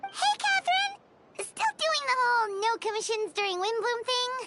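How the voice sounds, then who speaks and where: A squeaky, extremely high put-on character voice talks at a moderate pace. Music plays in the background. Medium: video game. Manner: chatty, excitable.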